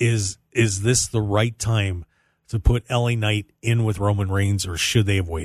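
A man with an American accent talks at fairly low pitch and sounds somewhat breathy. The sound is dry and close with no echo, and the background is quiet. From US Northeast (Pennsylvania). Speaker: radio host. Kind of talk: casual banter radio show chat. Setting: radio studio.

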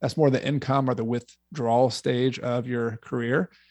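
Against a quiet background, a man with an American accent talks at a moderate pace in an unremarkable speaking voice with fairly even intonation. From Georgia, US South. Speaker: real estate investor and author. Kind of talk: interview.

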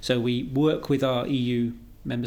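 His pitch is in the medium range. The man talks with a British accent. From Britain. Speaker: EU space policy expert and marathon runner. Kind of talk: interview.

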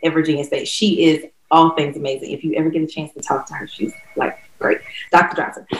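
A woman with a North Carolina accent, fairly low in pitch and fairly quick. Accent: US Southern (North Carolina). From North Carolina, Durham. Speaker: former college dancer and dance instructor. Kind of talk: interview.

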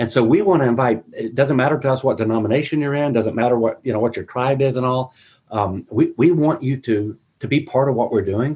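With a dark, mellow tone and a somewhat breathy quality, a man speaks at a medium pitch and a fairly quick pace, using ordinary pitch variation. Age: 50s. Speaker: church minister. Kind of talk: webinar discussion.

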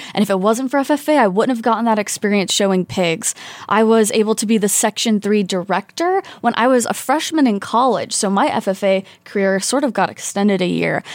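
Here is a woman with an unremarkable speaking voice and an American accent, fairly high in pitch. She talks at a fairly quick pace with ordinary pitch variation and very even loudness. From rural Indiana. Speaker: PhD student and pageant titleholder. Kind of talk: interview. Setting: studio.

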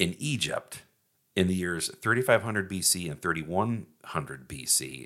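Bright and sharp in tone with vocal fry, the voice moves at a moderate pace with lively intonation. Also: man, very deep, low pitch for a man. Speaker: podcast host. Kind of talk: casual comedic banter. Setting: studio.

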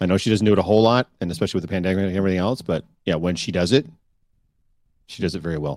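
The speaker has a Canadian accent and talks very fast. Pitch variation is ordinary. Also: man, very deep, low pitch for a man. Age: 40s. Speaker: podcast co-host. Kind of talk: casual chat. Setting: live-streamed video call.

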